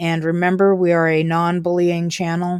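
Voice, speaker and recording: A woman's fairly low voice at a moderate pace, in a very clean recording with a silent background. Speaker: gaming streamer. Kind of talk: live gameplay commentary. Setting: live stream at home. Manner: loud; softer, lowered voice after start.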